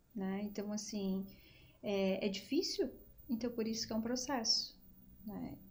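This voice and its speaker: Her voice is somewhat breathy with a dark, mellow tone, and the woman's recording carries audible room echo. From Brazil, Rio Grande do Sul (Gravataí). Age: 40s. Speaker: psychologist. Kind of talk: podcast interview.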